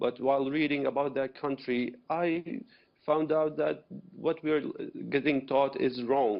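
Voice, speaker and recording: A man with an Arabic accent talks at a fairly slow pace and fairly high pitch. His loudness stays very even and his intonation fairly even. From Syria. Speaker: activist, former rebel, refugee. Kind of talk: TV news interview.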